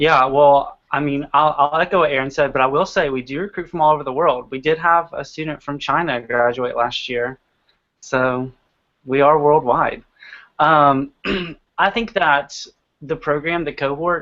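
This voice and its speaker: At a moderate pace, a man with an American accent uses an unremarkable speaking voice, fairly high in pitch with fairly even intonation. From US South, Georgia. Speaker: graduate student. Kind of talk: casual chat.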